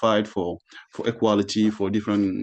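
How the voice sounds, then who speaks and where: A man talks with a French accent. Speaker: panelist, artist and activist. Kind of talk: panel discussion. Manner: halting, many repetitions.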